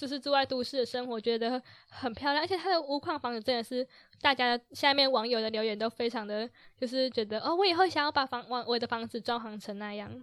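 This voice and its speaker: A woman talks at a fairly quick pace in a high pitch with ordinary pitch variation. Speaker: podcast co-host, journalism student. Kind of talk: casual chat; reading news items aloud.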